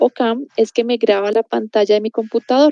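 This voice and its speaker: A woman with a fairly high pitch. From Colombia, Popayán. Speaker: university lecturer. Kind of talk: online video lecture. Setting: recorded video class. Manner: fast.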